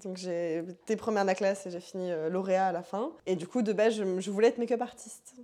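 Speaking at a very fast pace with hardly any pauses, a woman holds a medium pitch and ordinary pitch variation. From Paris suburbs (Seine-Saint-Denis). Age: 20s. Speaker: fitness instructor and author. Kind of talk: casual interview. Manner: animated.

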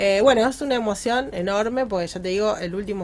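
A woman with an Argentine accent speaks with ordinary pitch variation. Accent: Rioplatense Argentine Spanish. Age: 40s. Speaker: community ambassador for women's professional network. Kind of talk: radio interview. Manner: halting, many repetitions.

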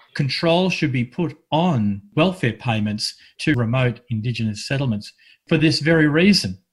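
A man talks in a medium-pitched, somewhat breathy voice. His intonation is lively, and the background is quiet. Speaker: community radio host. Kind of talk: radio chat. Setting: remote, separate rooms due to lockdown.

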